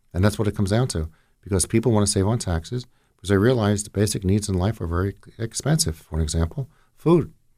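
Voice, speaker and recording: Talking at a very fast pace, a man with a fairly low pitch shows ordinary pitch variation. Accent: American. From northern New Jersey, Jersey City. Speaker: county commissioner. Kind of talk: radio interview.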